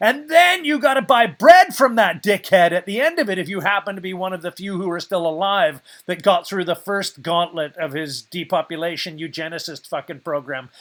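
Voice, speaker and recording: A man speaks at a fairly quick pace in a high voice, with hardly any pauses, big swings in loudness and lively intonation, on a very clean recording with a silent background. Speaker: podcast host. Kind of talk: ranting news commentary podcast. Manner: animated, ranting.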